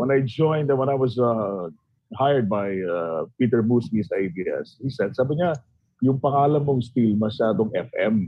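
Speaking with lively intonation at a fairly slow pace, a man uses a plain, everyday voice at medium pitch. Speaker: former radio DJ. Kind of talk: casual chat. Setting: video call.

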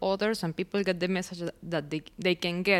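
A woman is speaking. She has a Venezuelan accent. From Venezuela (Barquisimeto). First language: Spanish. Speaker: poet and artist. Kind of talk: casual interview conversation. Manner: hesitant, halting.

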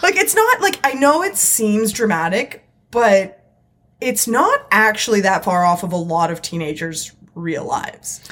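A woman talks at a fairly slow pace in a plain, everyday voice. Her pitch is fairly high, with lively intonation. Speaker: podcast co-host. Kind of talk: casual banter. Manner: joking, sarcastic.

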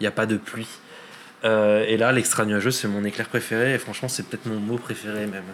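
A man's fairly low voice at a fairly quick pace, monotone and flat. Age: 30s. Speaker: climate scientist and storm chaser. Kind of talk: casual interview.

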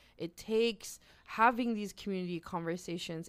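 At a moderate pace and medium pitch, a woman speaks in a normal speaking voice, her pitch varying in an ordinary way. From Nova Scotia, Canada (Halifax). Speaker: activist. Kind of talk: casual conversational interview.

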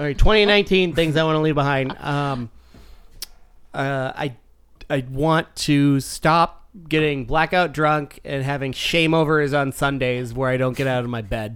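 This is a man with a normal speaking voice, fairly high in pitch with ordinary pitch variation. He talks at a fairly slow pace on a very clean recording with a silent background. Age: 30s. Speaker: podcast co-host. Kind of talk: casual chat.

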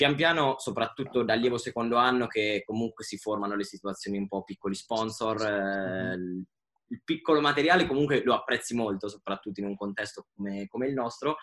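He has a normal speaking voice at a medium pitch with ordinary pitch variation, at a fairly quick pace. The sound is dry and close, with no echo. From Italy. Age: 20s. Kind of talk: casual chat.

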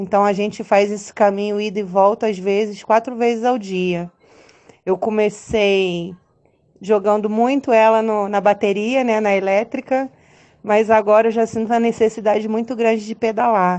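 Her pitch is fairly high and her intonation monotone and flat. The woman keeps a moderate pace. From Brazil, Duque de Caxias (Rio de Janeiro). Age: 30s. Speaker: single mother, cyclist. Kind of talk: personal testimony.

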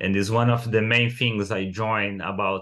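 A man speaks with a Brazilian accent at a fairly low pitch. His intonation is flat and monotone, and his pace is fairly slow. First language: Portuguese. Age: 30s. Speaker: artist. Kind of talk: casual interview.

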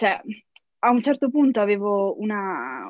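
A woman's medium-pitched voice with a Trentino accent. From Trento, northern Italy. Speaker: software engineer. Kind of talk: interview. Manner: frequent laughter; halting, English words mixed in.

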